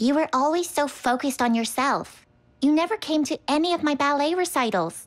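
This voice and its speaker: A female-sounding, cartoonish character voice, high in pitch and at a fairly quick pace. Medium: puppet show. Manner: aggrieved, accusing.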